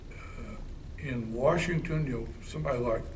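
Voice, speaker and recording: A man is talking here. His pace is fairly slow, with noticeable background noise behind him. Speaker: interviewee. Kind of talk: interview answer. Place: hall.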